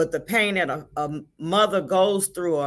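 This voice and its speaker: In a very clean recording with a silent background, a plain, everyday voice shows ordinary pitch variation. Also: woman. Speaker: grieving mother and volunteer with a support organization. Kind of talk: testimony.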